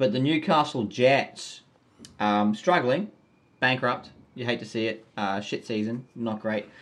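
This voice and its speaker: A man speaks with an Australian accent and lively intonation. The background is quiet. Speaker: podcast host. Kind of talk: casual chat. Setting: remote recording. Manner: animated.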